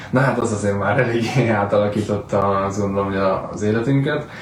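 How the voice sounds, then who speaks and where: At a fairly quick pace, a man speaks with a fairly low pitch and fairly even intonation. Audible room echo and noticeable background noise fill the recording. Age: 30s. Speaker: real estate agent. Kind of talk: casual solo vlog talk.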